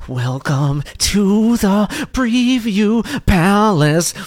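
Putting on a character voice, a man speaks at a high pitch and a very slow pace with lively intonation. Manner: heavy, aggressive metal delivery.

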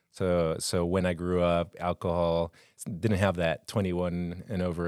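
Very deep and low, a man's voice carries a slight Colombian accent at a moderate pace. The recording is very clean with a silent background and a dry, close sound with no echo. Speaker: wilderness therapy guide. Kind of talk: casual chat. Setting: studio.

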